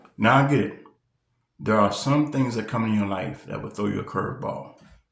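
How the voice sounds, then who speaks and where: There is audible room echo as a man of medium pitch talks at a fairly quick pace with ordinary pitch variation. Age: 60s. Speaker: preacher and reaction channel host. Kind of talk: casual commentary to camera. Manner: halting, many fillers.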